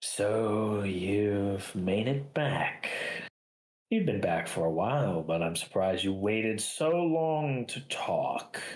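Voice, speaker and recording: A man puts on a character voice with fairly low pitch. He delivers it at a fairly slow pace. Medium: actual play. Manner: measured, cool, aloof.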